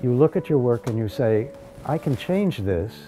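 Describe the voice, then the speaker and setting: Clear music plays in the background while a man talks at a moderate pace. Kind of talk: interview answer. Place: workshop.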